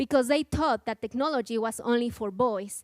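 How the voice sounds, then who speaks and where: In a Mexican accent, a woman speaks fairly quickly and high, the sound dry and close with no echo. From Mexico. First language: Spanish. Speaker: nonprofit program coordinator. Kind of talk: conference talk. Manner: halting.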